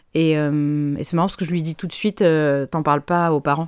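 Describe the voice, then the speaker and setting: Speaking at a moderate pace, a woman uses a very deep, low pitch with monotone, flat intonation. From France, Paris. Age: 30s. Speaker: voice-over and dubbing artist. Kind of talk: personal testimony in interview.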